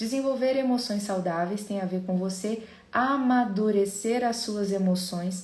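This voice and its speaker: Medium-pitched female voice at a moderate pace, fairly even intonation, audible echo in the room. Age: 30s. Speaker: psychologist. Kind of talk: podcast talk.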